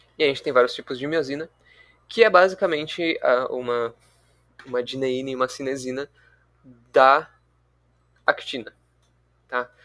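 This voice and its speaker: At a moderate pace, a man with a fairly high pitch and a bright, sharp tone speaks with ordinary pitch variation and long, frequent pauses. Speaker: student tutor leading review session. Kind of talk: online review class.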